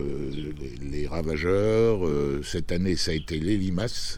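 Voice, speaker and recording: There is audible room echo and noticeable background noise as a man with a very deep, low pitch talks with ordinary pitch variation. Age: 70s. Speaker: amateur gardener, channel owner. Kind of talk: video garden tour presentation. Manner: hesitant, many fillers.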